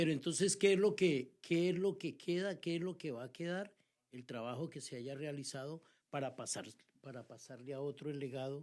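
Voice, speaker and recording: With a normal speaking voice, this man talks at a fairly high pitch, showing ordinary pitch variation and big swings in loudness. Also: moderate pace. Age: 60s. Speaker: pastor. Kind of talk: casual chat.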